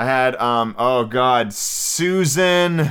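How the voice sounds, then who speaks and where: Recorded very cleanly against a silent background, a man speaks at a medium pitch with lively intonation. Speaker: podcast host. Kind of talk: casual monologue. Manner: chatty.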